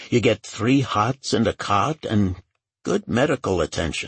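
In a put-on character voice with a husky, rough edge, a man talks at fairly low pitch and a fairly slow pace with lively intonation, in a dry, close sound with no echo.

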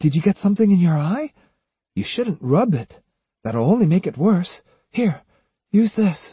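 A man uses a put-on character voice, high-pitched and dark and mellow in tone with a husky, rough edge and big pitch swings. He speaks at a fairly slow pace, and the sound is dry and close with no echo.

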